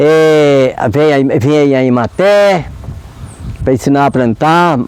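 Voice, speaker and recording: A man's very slow-paced speech is heard with noticeable background noise behind it. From Brazil, Minas Gerais countryside. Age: 70s. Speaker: community leader and farmer. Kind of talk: interview. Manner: halting.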